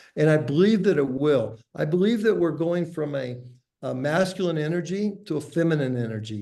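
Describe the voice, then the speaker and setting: With an American accent, a man talks at a moderate pace and fairly high pitch. His intonation is lively, and audible room echo is present. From USA. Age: 60s. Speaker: entrepreneur and author. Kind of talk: podcast interview.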